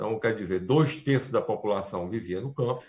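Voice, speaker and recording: A man speaks at a medium pitch and moderate pace with ordinary pitch variation. His voice is somewhat breathy over a quiet background. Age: 60s. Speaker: architect and urban planner. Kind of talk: interview on a live stream. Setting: live stream. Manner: halting, many fillers and restarts.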